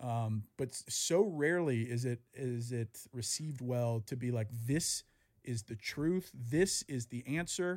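A man's plain, everyday voice in an American accent, medium in pitch with ordinary pitch variation, at a fairly slow pace. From US South. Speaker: podcast host. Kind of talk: casual chat.

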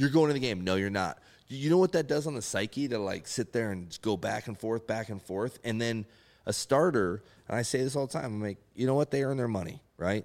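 A normal speaking voice with lively intonation moves at a fairly quick pace on a very clean recording with a silent background. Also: man, medium pitch for a man. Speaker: retired baseball pitcher. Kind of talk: casual chat.

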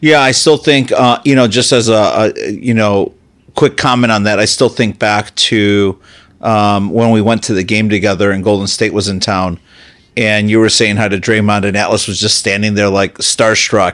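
A man with a fairly low pitch uses a normal speaking voice, fairly even intonation and a moderate pace. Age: 30s. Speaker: podcast host, CEO. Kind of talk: interview.

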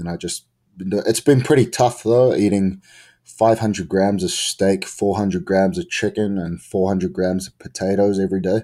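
In a New Zealand accent, a man speaks fairly slowly, fairly low in pitch, with a dark, mellow tone and ordinary pitch variation. The recording is very clean, with a silent background. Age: 20s. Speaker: professional wrestler. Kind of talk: casual interview.

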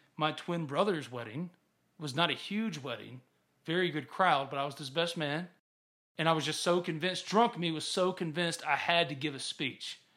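A man with a Mississippi accent speaks at a moderate pace with ordinary pitch variation, recorded very cleanly against a silent background. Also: fairly high pitch for a man. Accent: US Southern (Mississippi). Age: 30s. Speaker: sports podcast host. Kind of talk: casual sports chat. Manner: animated.

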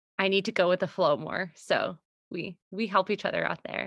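A woman speaks at a moderate pace in a medium pitch with fairly even intonation. It is a normal speaking voice, with a dry, close sound and no echo. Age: 30s. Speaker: podcast host, business consultant and mother. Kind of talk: casual chat.

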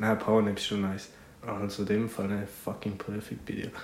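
A man with a fairly low pitch talks at a moderate pace. Noticeable background noise and audible room echo fill the recording. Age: 20s. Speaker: podcast co-host, student. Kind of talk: casual chat. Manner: laughing often.

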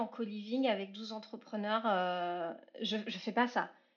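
A woman with a normal speaking voice talks at a fairly slow pace. Her pitch is fairly high and her intonation fairly even. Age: 30s. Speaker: entrepreneur, consultant. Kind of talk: casual interview.

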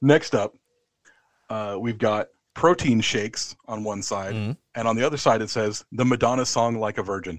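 With an American accent, a man in an unremarkable speaking voice talks at a moderate pace and medium pitch with ordinary pitch variation, the sound dry and close with no echo over a quiet background. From USA. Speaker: wrestling podcast guest host. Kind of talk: casual chat; match review.

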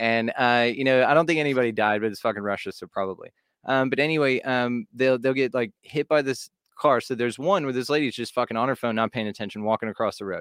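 With a Texan accent, a man talks at a very fast pace and ordinary pitch variation, the sound dry and close with no echo against a quiet background. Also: medium pitch for a man. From Texas, Fort Worth. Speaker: podcast host (guest). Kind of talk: casual chat.

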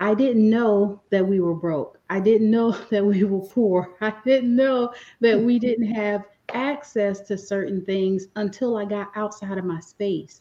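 A woman with an American accent speaks at a fairly slow pace in an unremarkable speaking voice, her medium pitch held in fairly even intonation. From US Northeast, inner city Philadelphia. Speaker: business coach. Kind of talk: interview.

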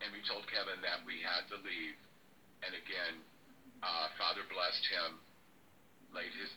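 Against noticeable background noise, a man talks at a fairly slow pace. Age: 60s. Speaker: psychic medium. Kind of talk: testimony.

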